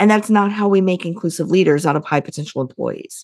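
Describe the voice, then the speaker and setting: A woman with a Midwestern American accent speaks at a fairly low pitch with ordinary pitch variation. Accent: General Midwestern American. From US Midwest. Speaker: leadership consultant and company CEO. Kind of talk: casual interview conversation.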